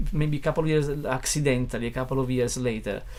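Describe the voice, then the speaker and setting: There is noticeable background noise behind a man whose pitch is fairly high. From Italy, Naples. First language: Italian (Neapolitan). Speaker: musician and record producer. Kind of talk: casual interview chat. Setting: studio. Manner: halting, many fillers and restarts.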